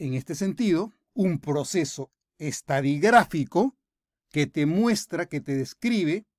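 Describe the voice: A man talks at a slow pace with lively intonation, in a dry, close sound with no echo. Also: very clean recording, silent background.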